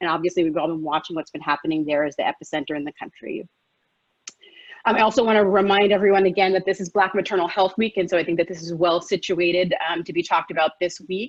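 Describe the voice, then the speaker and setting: The speaker has an American accent and talks at a very fast pace. The intonation stays fairly even. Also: woman, fairly low pitch for a woman. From US, New York. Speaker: physician. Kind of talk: lecture. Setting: live webinar.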